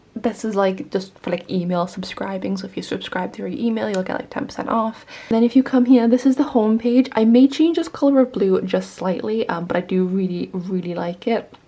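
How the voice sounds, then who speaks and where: A woman with a fairly high pitch talks at a fairly quick pace with hardly any pauses and ordinary pitch variation. Her loudness swings widely, and background noise is noticeable. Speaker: small business owner and artist vlogger. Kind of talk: casual vlog. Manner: casual, filler-heavy.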